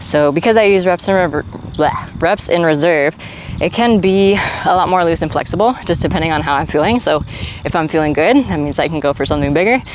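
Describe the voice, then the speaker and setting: Over noticeable background noise, a woman talks at a fairly quick pace in a fairly low pitch with ordinary variation. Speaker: fitness vlogger. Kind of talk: vlog. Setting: gym. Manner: casual, animated.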